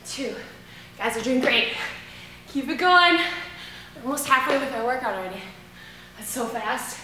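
In a raised, projected voice with big swings in loudness and ordinary pitch variation, the speaker keeps a moderate pace amid light background noise and audible room echo. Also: woman. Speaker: fitness instructor. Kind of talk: workout instruction. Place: gym.

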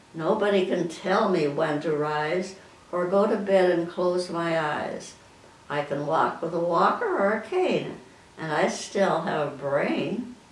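In an American accent, a woman speaks at a fairly slow pace and fairly low pitch with ordinary pitch variation and audible room echo. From Midwestern US. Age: 80s+. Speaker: amateur poet. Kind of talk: poetry reading. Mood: warm, proud, gently humorous. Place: home room. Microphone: camera far.

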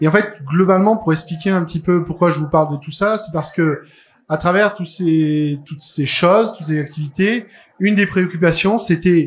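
The speaker is a man with a high pitch. He keeps a moderate pace. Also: ordinary pitch variation. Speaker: conference speaker. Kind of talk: lecture. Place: hall.

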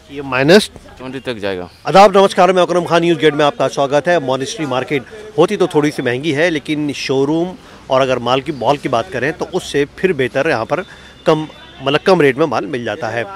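With lively intonation, a man speaks at a moderate pace in a dry sound with no echo, over light background noise. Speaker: market reporter. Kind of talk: presenter commentary to camera. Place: market. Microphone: handheld.

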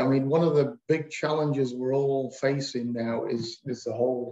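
A man's dark, mellow voice with fairly even intonation at a moderate pace, audible room echo, and a quiet background. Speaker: webinar moderator. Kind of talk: webinar moderating. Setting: video call. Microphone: video call.

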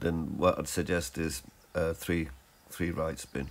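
Very deep, low male voice with vocal fry at a moderate pace. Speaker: gaming tutorial creator. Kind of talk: tutorial. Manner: halting, with fillers.

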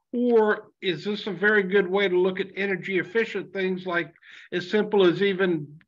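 Against a quiet background, the talking proceeds at a moderate pace. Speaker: dairy farmer attending webinar. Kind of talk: webinar Q&A. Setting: video call. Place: meeting room.

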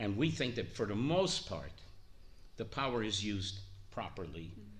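A man's somewhat breathy, fairly low voice with lively intonation at a moderate pace. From Montreal, Canada. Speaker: orthodontist. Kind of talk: oral history interview answer.

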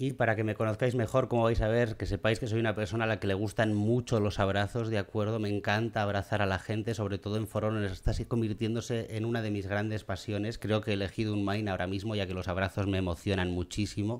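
A man speaks at a very fast pace with hardly any pauses. His voice is fairly low. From Spain. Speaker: gaming youtuber. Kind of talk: gameplay commentary. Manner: animated.

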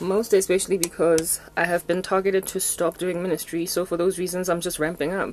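A woman talks at a fairly quick pace in a monotone, flat intonation over noticeable background noise. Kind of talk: casual vlog chat. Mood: low, sorrowful. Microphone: phone near.

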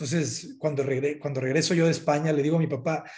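Fairly even intonation runs through a man's speech over a quiet background. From northern Mexico, Sinaloa. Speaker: architect; interviewee. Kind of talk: interview. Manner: halting, many repetitions. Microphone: video call.

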